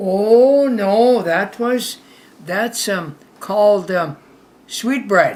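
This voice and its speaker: A woman speaks at a very slow pace with lively intonation and a medium pitch. She leaves long, frequent pauses over noticeable background noise. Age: 90s. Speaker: grandmother. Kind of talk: casual chat. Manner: halting.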